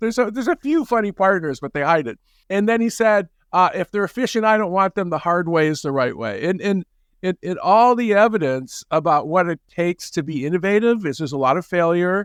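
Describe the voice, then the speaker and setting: High-pitched male speech at a fairly quick pace, lively in intonation, dry and close with no echo against a quiet background. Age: 60s. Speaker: management professor and author. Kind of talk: interview conversation. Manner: halting with many repetitions.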